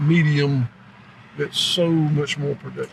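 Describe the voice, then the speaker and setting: Here a man speaks with an American accent. His voice is fairly high-pitched and somewhat breathy. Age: 60s. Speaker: cattle rancher. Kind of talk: interview. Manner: halting, many fillers.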